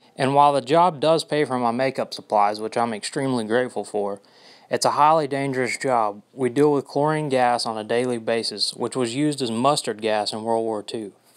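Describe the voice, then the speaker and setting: At a medium pitch, a man speaks with a Southern US accent. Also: ordinary pitch variation, fairly quick pace. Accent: Southern American. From US South, Georgia (Dalton). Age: 20s. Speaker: makeup artist. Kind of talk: audition video monologue.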